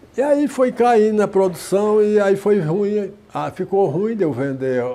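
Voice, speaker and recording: Noticeable background noise sits behind a man whose high voice swings very widely in pitch. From Ceará, Brazil. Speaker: leather craftsman, saddler. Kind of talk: interview answer.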